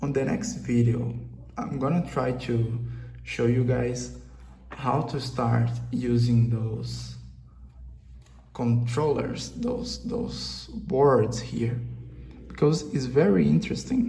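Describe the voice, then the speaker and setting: A man talks at a very slow pace with long, frequent pauses and audible room echo. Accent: Brazilian. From Brazil. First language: Portuguese. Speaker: hobbyist maker, channel owner. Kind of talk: casual video vlog, tutorial-like. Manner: halting, with many fillers and repetitions.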